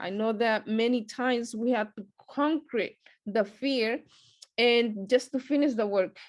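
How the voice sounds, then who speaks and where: Her intonation stays fairly even as a woman speaks at a fairly slow pace and a fairly high pitch. She has a non-native accent. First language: not English. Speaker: lay Bible study teacher. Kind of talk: short sermon at prayer meeting. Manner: hesitant, many fillers.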